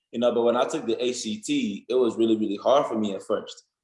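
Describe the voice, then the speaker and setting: At a fairly quick pace, a man speaks with an African accent. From Nigeria. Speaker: college football player. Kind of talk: interview. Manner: casual, many fillers.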